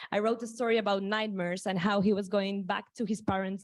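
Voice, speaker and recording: Flat, monotone intonation comes with a Spanish accent. The pace is fairly quick. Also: woman. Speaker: startup founder pitching. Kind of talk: pitch presentation.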